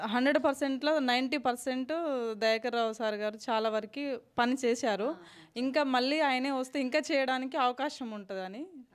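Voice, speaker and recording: A woman talks in a high pitch. Her intonation stays fairly even. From Telangana, Palakurthi area; Telangana. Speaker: local resident. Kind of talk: street interview. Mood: calm, approving. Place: home room. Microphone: handheld.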